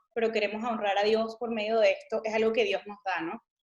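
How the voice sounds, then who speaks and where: In a Venezuelan accent, a woman talks at a fairly quick pace. Her pitch is fairly high and her intonation monotone and flat. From Venezuela, Caracas. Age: 30s. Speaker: missionary and lawyer. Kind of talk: interview testimony.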